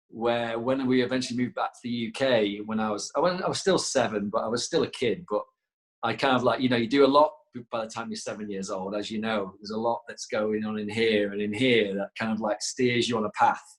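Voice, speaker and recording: A man with a northern English accent speaks at a fairly quick pace, at a medium pitch with ordinary pitch variation. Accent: northern English twang. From northern England, Leeds. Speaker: yoga teacher and former rugby player. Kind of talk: interview.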